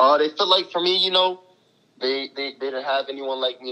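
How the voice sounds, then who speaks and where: A man talks in a New York accent. His pace is fairly quick. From New York City (East Harlem). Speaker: college basketball player. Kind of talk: interview.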